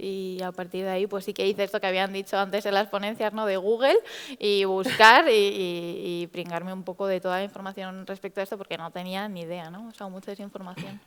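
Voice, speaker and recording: The speaker moves at a fairly quick pace with fairly even intonation and big swings in loudness, over noticeable background noise. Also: woman, medium pitch for a woman. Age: 20s. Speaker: patient sharing experience, psychologist. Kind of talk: testimony.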